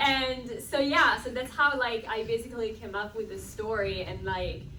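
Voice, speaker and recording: A woman talks at a moderate pace in a fairly high voice, with ordinary pitch variation. Room echo is audible. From Italy. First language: Italian. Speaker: film director. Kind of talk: panel Q&A answer. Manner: casual, filler-heavy.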